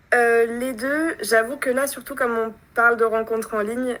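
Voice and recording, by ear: A woman's fairly high, fairly bright voice, with fairly even intonation at a moderate pace.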